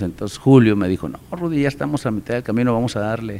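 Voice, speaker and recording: A normal speaking voice from a man, fairly quick in pace, medium in pitch, with ordinary pitch variation. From Mexico, Nuevo León (San Juan, Cadereyta). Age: 50s. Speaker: amateur baseball association president. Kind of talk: casual interview.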